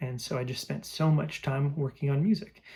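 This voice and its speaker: A man speaks at a moderate pace in a somewhat breathy, fairly high voice with ordinary pitch variation. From France and Belgium. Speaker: musician vlogger. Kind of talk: personal monologue. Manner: reflective, with filler words.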